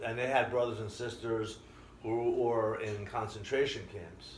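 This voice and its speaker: Audible room echo surrounds a man with an American accent. His pitch is medium and his intonation fairly even. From Israel. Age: 60s. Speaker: immigrant interviewee. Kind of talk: interview storytelling.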